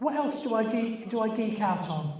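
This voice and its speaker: Lively intonation over noticeable background noise and audible room echo. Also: man. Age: 60s. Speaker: environmental campaigner. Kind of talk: party quiz hosting. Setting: party with audience. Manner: animated.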